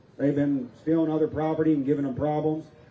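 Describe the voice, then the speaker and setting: Amid audible room echo, a man with a fairly high pitch speaks in an energetic tone at a moderate pace. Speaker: rally emcee and preacher. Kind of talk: rally speech, Bible-laced sermon-style patriotic address. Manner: energetic, folksy, stirring, crowd-rousing. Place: open country.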